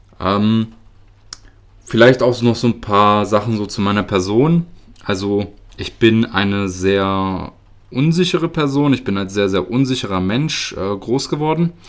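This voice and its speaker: Speaking fairly slowly with long, frequent pauses, a man uses a fairly low pitch and lively intonation. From Germany, near Göttingen (Lower Saxony). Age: 20s. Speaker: podcast host. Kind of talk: personal monologue. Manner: hesitant, many filler sounds.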